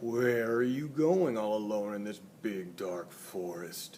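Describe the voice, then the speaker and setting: Growling in a fairly low put-on character voice, a man speaks at a fairly slow pace over clear background noise. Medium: read story.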